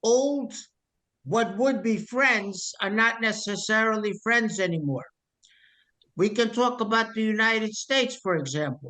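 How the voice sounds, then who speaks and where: This man talks in a raised, projected voice with an American accent, high in pitch and bright, sharp in tone. His loudness stays very even, with ordinary pitch variation at a fairly slow pace. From US. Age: 70s. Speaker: political activist. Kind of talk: interview. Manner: animated.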